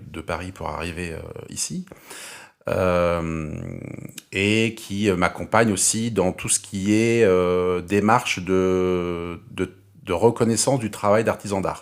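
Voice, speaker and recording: A man speaks at a very slow pace. His voice is very deep and low, with fairly even intonation. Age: 40s. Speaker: carpenter and furniture maker. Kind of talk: interview. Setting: workshop. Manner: halting, many hesitations.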